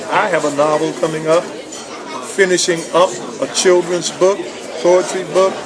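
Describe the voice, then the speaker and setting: Crowd noise runs in the background, and the room echo is audible. The speech moves at a fairly slow pace. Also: man. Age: 60s. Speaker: retired pastor and book editor. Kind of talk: personal video message. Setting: restaurant.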